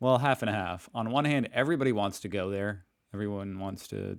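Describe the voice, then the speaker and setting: Over a very clean recording with a silent background, a man talks at a fairly quick pace in a fairly low pitch with ordinary pitch variation, a plain, everyday voice. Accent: American. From United States. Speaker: reaction youtuber. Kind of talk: casual commentary.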